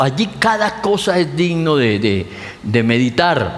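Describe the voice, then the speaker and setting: A man is heard with audible room echo. Noticeable background noise sits behind him. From Colombia (Pamplona). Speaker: pastor. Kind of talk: sermon.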